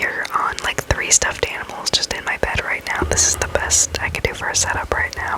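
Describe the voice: Someone is whispering. The pace is moderate.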